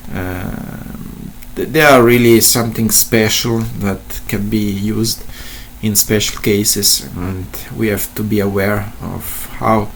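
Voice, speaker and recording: A man's fairly low voice with fairly even intonation, audible room echo and noticeable background noise. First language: not English. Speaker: statistician / tutorial presenter. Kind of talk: tutorial. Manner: halting, many fillers and repetitions.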